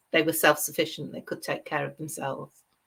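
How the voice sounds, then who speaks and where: A woman with a British accent, a bright, sharp tone and fairly even intonation. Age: 50s. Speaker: crochet designer. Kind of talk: casual interview chat.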